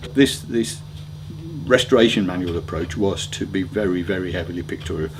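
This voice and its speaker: A man with a very deep, low pitch talks at a very fast pace with lively intonation. Noticeable background noise and audible room echo are present. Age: 60s. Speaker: motoring author. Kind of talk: interview answers. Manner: hesitant, with ums and repeated words.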